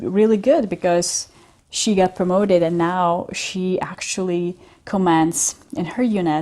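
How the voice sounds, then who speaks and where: Over a very clean recording with a silent background, a woman's dark, mellow voice sits at medium pitch with ordinary pitch variation. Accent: European. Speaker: business coach. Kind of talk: casual talk to camera.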